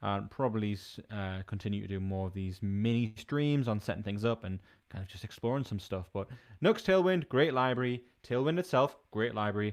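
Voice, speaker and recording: A man mumbles at a fairly quick pace. His pitch is fairly low, with ordinary variation. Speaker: software developer streamer. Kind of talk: live coding stream. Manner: casual, hesitant with fillers; mumbling.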